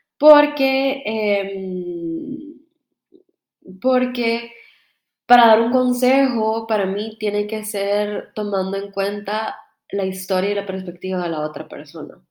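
Speaking at a very slow pace, a woman lets her loudness swing widely. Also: medium pitch for a woman, ordinary pitch variation. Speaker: podcast host. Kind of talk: casual monologue. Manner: animated.

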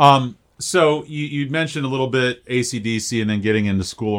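Man at a moderate pace, very clean recording with a silent background. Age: 40s. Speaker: podcast host. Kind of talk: casual chat.

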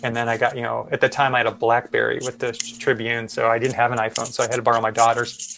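A man with an American accent talks very fast at a medium pitch, with hardly any pauses. His intonation is monotone and flat, and noticeable background noise runs underneath. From US Midwest, Chicago. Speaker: photojournalist. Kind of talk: interview conversation.

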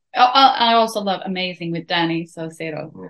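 A woman speaks with a Swedish accent. Her pace is moderate and her pitch variation ordinary. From Sweden. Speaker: country singer. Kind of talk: interview.

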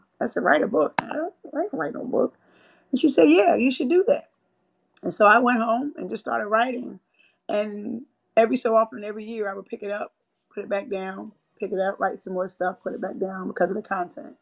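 A fairly high-pitched woman's voice, fairly quick yet broken by long, frequent pauses, with lively intonation and big swings in loudness. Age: 40s. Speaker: author and podcast host. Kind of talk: reading aloud from her book, with talk. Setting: live audio chat room, online.

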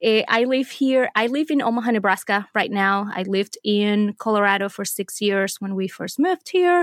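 In a very clean recording with a silent background and a dry, close sound with no echo, a woman with a Spanish accent speaks at a moderate pace in a fairly high pitch with lively intonation. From Venezuela. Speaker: scrapbooking artist and teacher. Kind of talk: casual interview.

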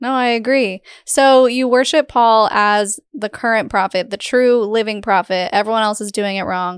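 Woman at a fairly high pitch, animated tone, ordinary pitch variation, moderate pace, hardly any pauses, very clean recording with a silent background. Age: 30s. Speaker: podcast host. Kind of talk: interview conversation.

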